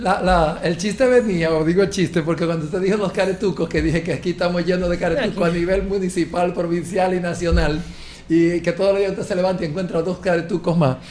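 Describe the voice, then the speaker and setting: A man's high-pitched voice at a very fast pace over noticeable background noise. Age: 50s. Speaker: talk show panelist. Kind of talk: casual chat. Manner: animated.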